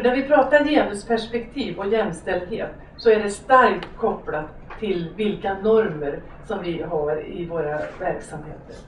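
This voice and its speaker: With light background noise and audible room echo, a woman speaks at a fairly slow pace using lively intonation. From Hudiksvall, Sweden. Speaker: lecturer on gender equality. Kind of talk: lecture. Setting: lecture hall with audience. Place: stage.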